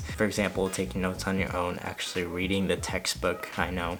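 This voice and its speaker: Over music in the background, a man with a very deep, low pitch talks at a moderate pace in a monotone, flat intonation. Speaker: college freshman. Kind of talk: casual talk to camera.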